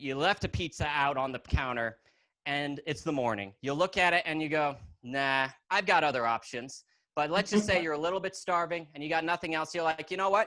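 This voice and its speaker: Here a man speaks with lively intonation and a bright, sharp tone. His pitch sits fairly high. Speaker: stand-up comedian and lawyer. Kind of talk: stand-up comedy set. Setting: video call.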